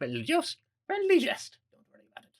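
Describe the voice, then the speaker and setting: Doing a put-on character voice, a man talks at an extremely high pitch and a fairly quick pace. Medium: actual play. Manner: haughty, put-upon.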